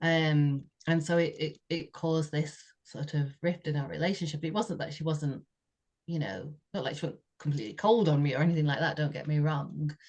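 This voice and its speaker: A woman with a British accent speaks at a moderate pace in a very deep, low voice, somewhat breathy, with fairly even intonation. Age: 60s. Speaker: podcast co-host sharing personal story. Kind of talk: heartfelt conversational testimony. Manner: halting, with frequent repetitions and fillers.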